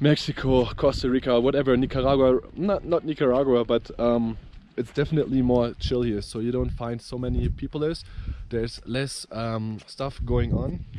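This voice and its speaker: Moderate pace and fairly even intonation, with a German accent. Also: man. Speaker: travel vlogger. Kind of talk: travel vlog. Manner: halting, many fillers.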